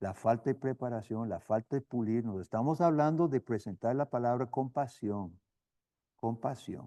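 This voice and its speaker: A man with a slight non-native accent, a dark, mellow tone, and medium pitch at a fairly slow pace, in a dry, close sound with no echo and a quiet background. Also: ordinary pitch variation. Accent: slight foreign accent in Spanish. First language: not Spanish, learned as missionary (speaking Spanish). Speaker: seminary professor and missionary. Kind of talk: lecture. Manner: halting, with repetitions.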